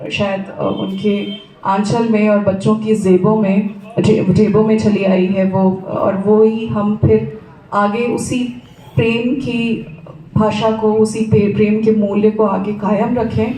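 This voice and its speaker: Speaking in a Bihari accent, a woman uses a medium pitch and monotone, flat intonation, with audible room echo and noticeable background noise. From Siwan, Bihar, India (raised in cities). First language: Bhojpuri (speaking Hindi). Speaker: former TV journalist, family friend speaker. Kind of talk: memorial tribute speech. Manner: halting, many filler pauses.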